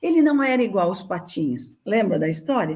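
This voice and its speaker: The voice has a dark, mellow tone and is somewhat breathy. Its pace is moderate. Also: woman. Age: 70s. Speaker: childcare charity director. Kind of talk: interview.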